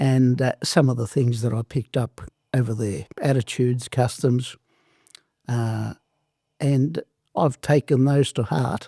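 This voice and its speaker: Speaking at a fairly slow pace in an Australian accent, a man has a medium pitch, a dark, mellow tone and ordinary pitch variation, on a very clean recording with a silent background and a dry, close sound with no echo. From southern Italy, raised in Australia from age seven. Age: 70s. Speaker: former wrestler and entrepreneur. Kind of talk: interview.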